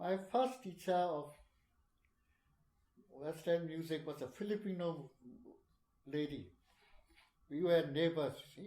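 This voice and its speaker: Pausing long and often, a man speaks at a fairly slow pace in a high pitch and a dark, mellow tone, his loudness swinging widely. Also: ordinary pitch variation. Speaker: puppeteer. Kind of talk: oral history interview answer.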